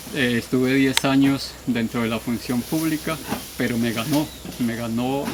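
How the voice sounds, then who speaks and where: A man speaks at a medium pitch with fairly even intonation. Noticeable background noise is present. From Colombia, Meta (Fuente de Oro). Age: 40s. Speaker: farmer. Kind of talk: interview testimony. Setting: outdoors in plantain field.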